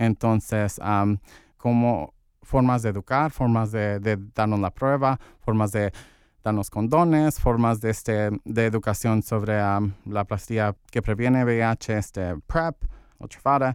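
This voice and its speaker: A man at medium pitch, very slow pace and ordinary pitch variation, with a dry, close sound, no echo, and a very clean recording against a silent background. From Santa Ana, Orange County, California. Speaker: LGBTQ community organizer. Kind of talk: interview. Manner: halting, many fillers.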